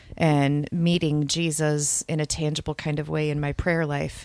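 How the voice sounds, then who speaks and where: Speaking with a Michigan accent, a woman has a very deep, low pitch and fairly even intonation at a fairly slow pace. The recording is very clean, with a silent background. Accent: Upper Midwest (Michigan). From Grand Rapids, Michigan. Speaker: preacher and author. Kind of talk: casual chat.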